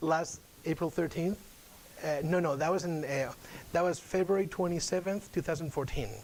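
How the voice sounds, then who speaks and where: With a Spanish accent and a high pitch, a man speaks at very even loudness with ordinary pitch variation and long, frequent pauses. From Spain. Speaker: UN outreach officer. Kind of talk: guest lecture. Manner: fast.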